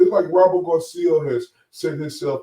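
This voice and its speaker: A somewhat breathy, dark and mellow male voice with an American accent, ordinary pitch variation and a moderate pace. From USA. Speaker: boxing podcast co-host. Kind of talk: casual podcast chat.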